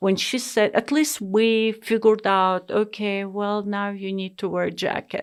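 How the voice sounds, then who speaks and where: On a very clean recording with a silent background, a woman with a non-native accent speaks at a fairly slow pace. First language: not English. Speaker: immigrant sharing life story. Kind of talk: interview. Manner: hesitant, many fillers.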